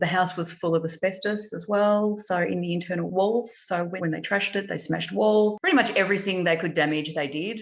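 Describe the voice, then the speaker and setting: A woman with an Australian accent speaks fairly low in pitch with ordinary pitch variation. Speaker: property investor and home renovator. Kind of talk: interview. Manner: halting speech after stroke.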